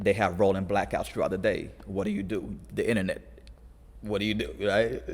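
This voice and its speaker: Speaking at a fairly quick pace with long, frequent pauses, a man uses a fairly low pitch with vocal fry and ordinary pitch variation. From California, US (moved from abroad as a child). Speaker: youth conditioning coach. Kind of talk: casual podcast interview. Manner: halting, many restarts.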